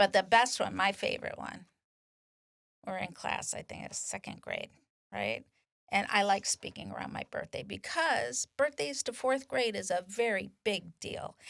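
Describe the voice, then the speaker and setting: Animated woman's voice at a moderate pace, with big swings in loudness. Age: 60s. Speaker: nonprofit volunteer speaker. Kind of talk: casual interview chat.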